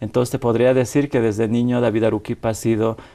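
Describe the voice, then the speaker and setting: Against a quiet background, a man of medium pitch speaks with a dark, mellow tone and fairly even intonation. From Bolivia. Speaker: activist. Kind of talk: interview.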